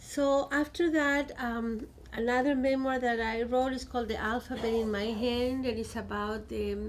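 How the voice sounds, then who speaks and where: With a Chilean Spanish accent, a woman speaks at a fairly slow pace in a high voice with fairly even intonation, and room echo is audible. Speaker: poet and professor. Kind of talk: book talk.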